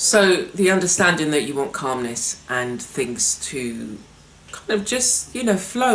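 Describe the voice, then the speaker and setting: A woman at a fairly slow pace, relaxed in tone, with very wide pitch swings, audible room echo and noticeable background noise. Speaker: art workshop host. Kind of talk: casual talk-to-camera presentation. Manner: relaxed, conversational with hesitations.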